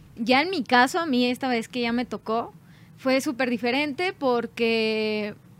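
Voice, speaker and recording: On a very clean recording with a silent background, a woman with a normal speaking voice talks at a fairly slow pace and fairly high pitch. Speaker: band singer. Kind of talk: casual chat.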